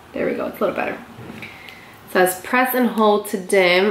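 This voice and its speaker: A moderate pace and ordinary pitch variation, with audible room echo and light background noise. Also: woman. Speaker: beauty vlogger. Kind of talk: casual product review chat. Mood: surprised, impressed. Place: home room. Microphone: phone near.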